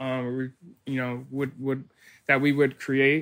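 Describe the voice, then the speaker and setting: With an American accent, a man speaks at a fairly high pitch in a bright, sharp tone. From South Florida. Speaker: chef. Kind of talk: casual interview. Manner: halting, many fillers and repetitions.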